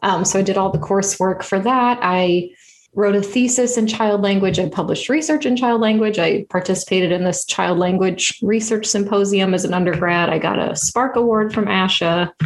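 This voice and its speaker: A woman speaks at a medium pitch with ordinary pitch variation and very even loudness. She goes at a fairly quick pace with hardly any pauses. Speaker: podcast host and swallowing specialist. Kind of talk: casual interview chat.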